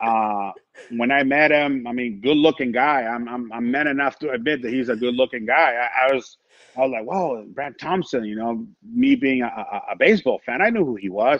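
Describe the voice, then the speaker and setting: Speaking with a Spanish accent, a man keeps a moderate pace and ordinary pitch variation. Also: medium pitch for a man. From Mexico, Tijuana. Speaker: sports radio broadcaster. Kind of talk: casual chat. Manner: animated.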